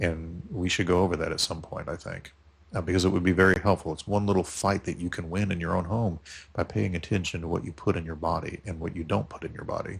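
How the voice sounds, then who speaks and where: A man with a very deep, low pitch talks very fast and somewhat breathily. His intonation stays fairly even against a quiet background. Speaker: podcast host. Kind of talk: casual chat. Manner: halting.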